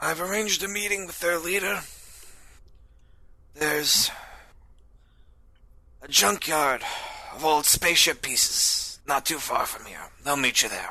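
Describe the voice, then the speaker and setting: A man puts on a raspy character voice at high pitch and a moderate pace. His loudness swings widely, and he pauses long and often. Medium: actual play. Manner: guarded.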